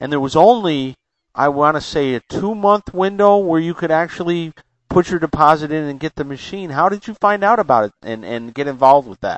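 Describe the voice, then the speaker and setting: With an American accent and an ordinary speaking voice, a man speaks fairly quickly at a fairly high pitch, with lively intonation and big swings in loudness. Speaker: podcast host. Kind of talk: casual interview. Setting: phone call.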